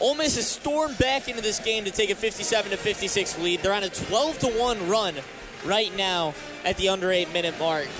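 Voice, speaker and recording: Over music in the background, a man talks at a fairly quick pace with a high pitch and lively intonation. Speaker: sports broadcaster.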